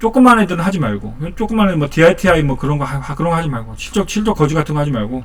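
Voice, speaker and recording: Very wide pitch swings mark this man's speech. He talks at a very fast pace. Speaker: stock market YouTuber. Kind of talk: casual market commentary.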